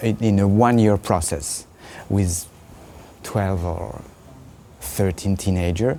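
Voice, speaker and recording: With a French accent, a man with a very deep, low voice speaks at a very slow pace, with ordinary pitch variation and long, frequent pauses. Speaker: puppeteer. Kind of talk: interview. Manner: halting.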